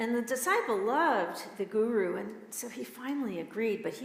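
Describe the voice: This recording is plain reading aloud.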